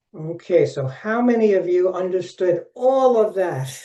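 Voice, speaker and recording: A man with an American accent has a high pitch and a dark, mellow tone. His intonation is lively. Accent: Brooklyn accent, comes out now and then. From Brooklyn, New York. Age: 70s. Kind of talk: webinar presentation. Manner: animated.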